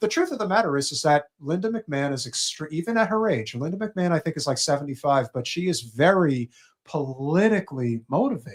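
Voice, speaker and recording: Lively intonation colors a plain, everyday voice that moves at a fairly quick pace with hardly any pauses. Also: man, fairly high pitch for a man. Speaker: political talk show co-host. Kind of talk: casual chat. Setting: live stream.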